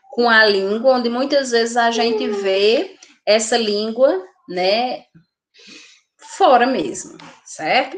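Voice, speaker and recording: Pitched fairly high, a woman speaks very slowly with lively intonation, stopping often for long pauses. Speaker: nursing teacher. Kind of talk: lecture.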